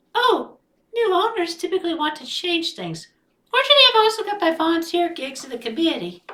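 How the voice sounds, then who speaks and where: A female-sounding put-on character voice squeaks at an extremely high pitch. It races along at a very fast pace. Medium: read story.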